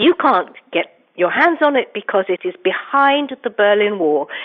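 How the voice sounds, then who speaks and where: With an English accent, a woman speaks at a moderate pace in a fairly high pitch with lively intonation. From England, London. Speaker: investigative journalist and author. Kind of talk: interview.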